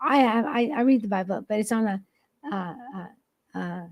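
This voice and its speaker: An ordinary speaking voice carries lively intonation throughout. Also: woman. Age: 60s. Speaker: podcast host. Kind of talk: casual chat.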